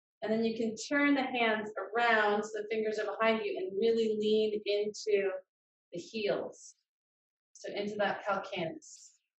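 A woman with a fairly high voice and ordinary pitch variation is heard with audible room echo. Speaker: yoga teacher. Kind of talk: guided yoga class and relaxation; guided yoga instruction. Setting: video call. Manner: calm, soothing, slow. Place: home room. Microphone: video call.

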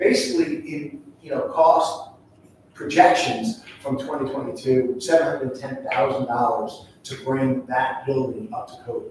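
A man with an American accent speaks at a fairly slow pace with big swings in loudness, amid noticeable background noise and audible room echo. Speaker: school district administrator. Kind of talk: public board meeting presentation. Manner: halting, many fillers.

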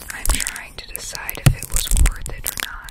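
Whispering at a fairly slow pace. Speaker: ASMR creator. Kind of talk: soft casual ASMR chat. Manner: close-mic whispered rambling. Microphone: studio mic.

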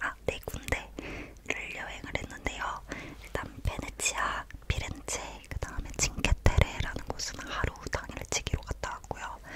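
Whispering, a woman speaks at a fairly slow pace. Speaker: ASMR creator. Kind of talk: casual travel story talk. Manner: whispered. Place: home room. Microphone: studio mic.

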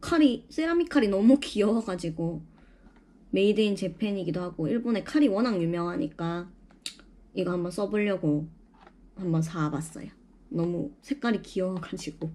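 A woman speaks at a moderate pace with medium pitch and a dark, mellow tone. Her intonation is lively, broken by long, frequent pauses. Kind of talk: casual shopping haul talk to camera. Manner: rambling, unstructured.

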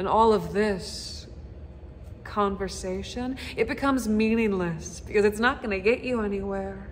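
Light background noise is present. Over it, a woman talks at a fairly slow pace. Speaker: actor. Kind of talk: dramatic monologue performance. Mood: bitter, accusatory, emotional. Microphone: phone near.

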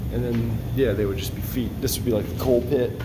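Loud background noise fills the clip. Through it, a man talks. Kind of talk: casual vlog chat. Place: home room. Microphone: phone near.

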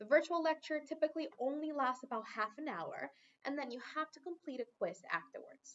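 At a moderate pace, a woman talks. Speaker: program instructor. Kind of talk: instructional talk. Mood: friendly, upbeat. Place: office. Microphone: webcam.

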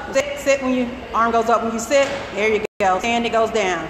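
A woman's fairly high voice at a moderate pace, with fairly even intonation and noticeable background noise. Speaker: fitness instructor. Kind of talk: live group fitness class, coaching. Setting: gym, filmed workout class with participants. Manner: brisk, encouraging cues, counting down reps. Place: gym.

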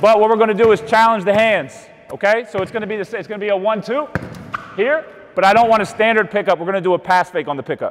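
Over light background noise, a man talks at a very fast pace in a high pitch with ordinary pitch variation. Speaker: basketball coach. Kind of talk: tutorial. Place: gym.

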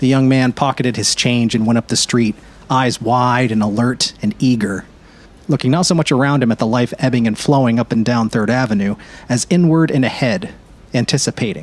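The speaker has a plain, everyday voice with ordinary pitch variation at a fairly quick pace. Loudness stays very even. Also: man, medium pitch for a man. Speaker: narrator. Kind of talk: audiobook-style literary narration. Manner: measured, warm storyteller pacing, dreamy and descriptive.

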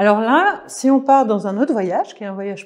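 In a quiet background, a woman speaks fairly slowly at a fairly high pitch with ordinary pitch variation. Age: 40s. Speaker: life coach. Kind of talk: online course presentation. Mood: warm, gentle, joyful. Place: home room.

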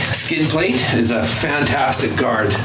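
A man talks over noticeable background noise. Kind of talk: interview answer, walkaround explanation. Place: garage. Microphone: camera far.

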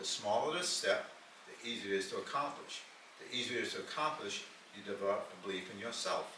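Amid noticeable background noise and audible room echo, a man speaks at a moderate pace with big swings in loudness. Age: 90s. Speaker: motivational speaker. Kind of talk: talk.

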